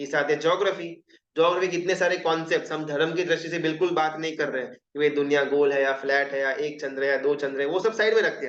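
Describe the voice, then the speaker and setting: A man with a Gujarati accent speaks at a fairly high pitch, his intonation fairly even and his speech running on with hardly any pauses. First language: Gujarati (speaking Hindi). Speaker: Jain religious teacher. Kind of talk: lecture. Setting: live Zoom class. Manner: conversational, with hesitations and self-corrections.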